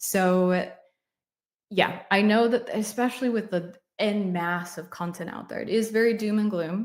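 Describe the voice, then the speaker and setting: With an American accent, this is an unremarkable speaking voice with fairly even intonation. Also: woman, medium pitch for a woman, fairly slow pace. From United States. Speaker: UX design mentor, livestream host. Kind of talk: live Q&A stream. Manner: casual, conversational.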